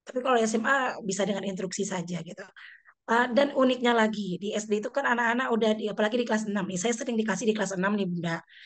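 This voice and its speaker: A woman with a fairly high voice talks very fast, her pitch varying in an ordinary way. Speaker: elementary school teacher. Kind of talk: online discussion sharing experience.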